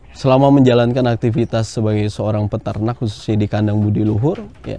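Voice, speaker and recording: A man's medium-pitched voice keeps fairly even intonation over noticeable background noise. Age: 20s. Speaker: livestock farmer. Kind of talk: interview testimony.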